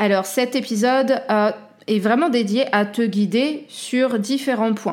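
A woman talks at a very slow pace with a fairly high pitch, ordinary pitch variation and very even loudness. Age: 30s. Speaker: life coach and podcast host. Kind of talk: solo self-help podcast talk.

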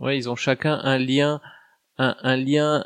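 The sound is dry and close with no echo, on a very clean recording with a silent background. Speech comes at a very slow pace with monotone, flat intonation. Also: man. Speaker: tabletop roleplaying guest. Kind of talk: casual chat.

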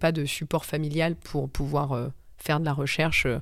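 A woman's fairly even intonation is heard against a silent background on a very clean recording. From Paris suburbs, France. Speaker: yoga teacher and former lawyer. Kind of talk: casual interview.

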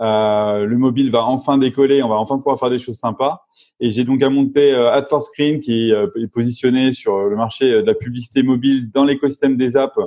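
The man speaks at a moderate pace and medium pitch, with ordinary pitch variation. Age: 40s. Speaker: venture capital operating partner and serial entrepreneur. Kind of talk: interview. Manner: halting.

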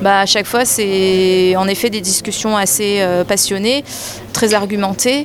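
Against noticeable background noise, a woman of medium pitch talks at a very slow pace. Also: fairly even intonation. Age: 30s. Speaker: journalist and beer judge. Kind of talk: interview.

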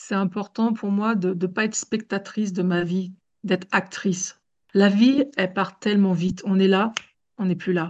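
Somewhat breathy, a woman speaks at a fairly slow pace in a medium pitch. Her intonation is fairly even, and the background is quiet. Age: 40s. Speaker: domestic violence survivor and advocate. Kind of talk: testimony.

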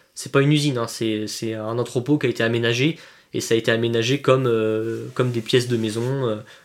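With monotone, flat intonation, a man speaks fairly quickly. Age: 20s. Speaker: airsoft player. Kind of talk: casual chat.

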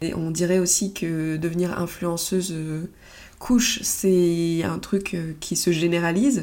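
With a dark, mellow tone and fairly low pitch, a woman talks at a very slow pace and with fairly even intonation, with audible room echo around her. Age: 30s. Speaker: podcast host, photographer and phototherapist. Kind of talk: solo monologue podcast. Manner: halting, with many fillers.

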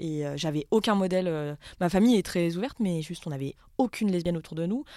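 A woman at a medium pitch, dark and mellow in tone, with lively intonation and a moderate pace, in a very clean recording with a silent background. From France, Haute-Savoie. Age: 30s. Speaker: social worker and writer. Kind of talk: casual conversation.

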